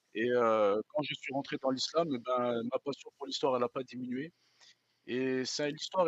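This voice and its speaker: The speaker is a man with a medium pitch. He goes at a fairly slow pace. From France. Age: 40s. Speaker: guest, French expatriate. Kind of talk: interview. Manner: hesitant, many fillers.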